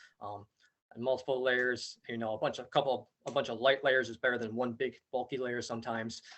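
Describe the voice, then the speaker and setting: A man is talking. The pitch of his voice is medium. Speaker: outdoor education camp coordinator. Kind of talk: parent information meeting presentation. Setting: video call. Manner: fast.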